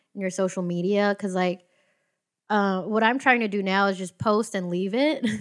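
A woman talks in a normal speaking voice at a medium pitch, with ordinary pitch variation. The recording is very clean, and the background is silent. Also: moderate pace. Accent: American. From US, Filipino family. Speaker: stand-up comedian. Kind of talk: casual chat.

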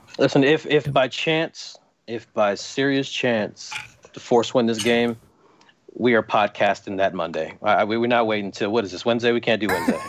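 A man with an American accent speaks at a moderate pace in a medium pitch, using ordinary pitch variation, in an ordinary speaking voice. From US East Coast. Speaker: football referee. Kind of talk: casual chat. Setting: video call.

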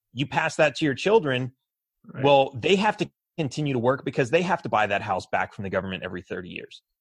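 Somewhat breathy and in an American accent, the voice races at a very fast pace with very wide pitch swings, in a dry, close sound with no echo against a quiet background. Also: man. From Los Angeles, later Texas. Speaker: political candidate. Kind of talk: interview.

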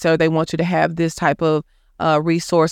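The speaker has an American accent, heard against a quiet background. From Dallas, Texas (Oak Cliff). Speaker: clinical psychologist. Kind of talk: interview. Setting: studio.

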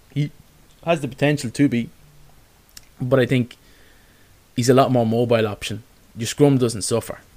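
With an Irish accent, a man talks at a moderate pace and medium pitch, with fairly even intonation and long, frequent pauses. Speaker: sports podcast host. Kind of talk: casual chat.

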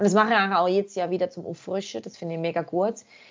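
This woman has an ordinary speaking voice. Her pitch sits in the medium range with ordinary variation. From Germany. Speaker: outdoor photographer. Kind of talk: casual chat.

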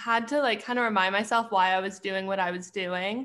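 A woman with a western Canadian accent, fairly even intonation and a moderate pace, over a quiet background. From Canada, Edmonton, Alberta. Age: 20s. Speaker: graduate student and clothing brand owner. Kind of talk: casual chat.

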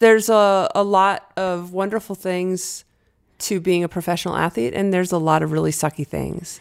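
With an American accent, a woman speaks at a moderate pace and medium pitch, her intonation fairly even, in a plain, everyday voice. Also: very clean recording, silent background. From New Hampshire, US. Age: 50s. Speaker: former pro skier, fear and anxiety expert. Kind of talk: interview conversation.

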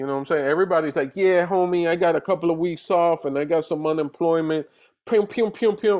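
A man with an American accent talks at a very fast pace with an animated tone and a high pitch. His pitch variation is ordinary, and the background is quiet. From Dominican Republic, then the Bronx, New York. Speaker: comedian. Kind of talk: casual chat.

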